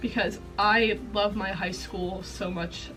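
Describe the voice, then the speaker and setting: A woman speaking over music in the background. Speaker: college student. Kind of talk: casual talk to camera.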